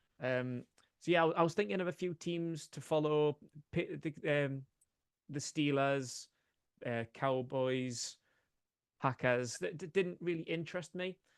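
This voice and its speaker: Over a quiet background, a man talks at a fairly slow pace with ordinary pitch variation and long, frequent pauses, the sound dry and close with no echo. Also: fairly high pitch for a man. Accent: Geordie. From northeast England, Newcastle. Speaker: sports podcaster. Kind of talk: podcast interview. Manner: hesitant, many fillers.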